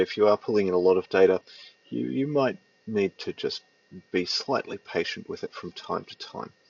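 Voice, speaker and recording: A man speaks with an Australian accent at a moderate pace. His loudness swings widely, and he leaves long, frequent pauses. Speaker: tutorial presenter. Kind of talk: software tutorial. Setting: at home, cold side of the house. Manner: hesitant with many fillers.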